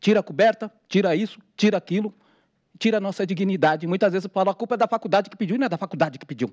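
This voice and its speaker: Over a quiet background, a man with a high pitch for a man and ordinary pitch variation speaks at a very fast pace. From São Paulo, Brazil. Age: 40s. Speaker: activist, formerly homeless; speaker. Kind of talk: testimony. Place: hall. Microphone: podium.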